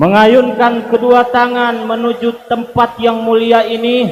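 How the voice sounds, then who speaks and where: A man with an extremely high pitch speaks at a very slow pace amid noticeable background noise and audible room echo. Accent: West Javanese. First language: Sundanese (speaking Indonesian). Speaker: Islamic preacher. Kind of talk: religious sermon to a live congregation. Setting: stage with live audience, livestreamed.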